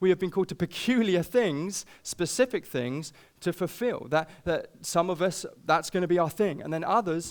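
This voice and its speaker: A man with a British accent, high-pitched and animated, at a moderate pace with ordinary pitch variation, on a very clean recording with a silent background. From Britain. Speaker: pastor. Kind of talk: sermon.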